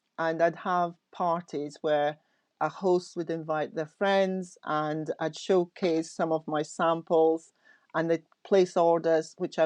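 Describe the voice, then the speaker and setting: Over a quiet background, a woman speaks at a very slow pace in a fairly low, monotone, flat voice, the sound dry and close with no echo. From Scotland (Aberdeen), born in Nigeria. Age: 60s. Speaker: knitwear designer. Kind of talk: casual interview chat.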